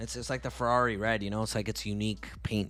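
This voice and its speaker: Over music in the background, a man speaks in a relaxed tone at a fairly low pitch and a fairly quick pace, his pitch swinging very widely. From Canada, Tamil-speaking family. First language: Tamil. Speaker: forex trader and live streamer. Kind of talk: live stream chat and market analysis. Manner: casual, relaxed.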